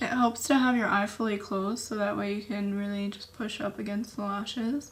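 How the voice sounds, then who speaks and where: Medium in pitch, a woman talks in a plain, everyday voice. She goes at a fairly quick pace with fairly even intonation. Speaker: beauty content creator. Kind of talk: tutorial. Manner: casual.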